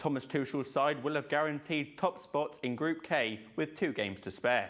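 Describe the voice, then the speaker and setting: This man has a plain, everyday voice, fairly high, with ordinary pitch variation. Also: moderate pace. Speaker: sports presenter. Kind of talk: news bulletin read.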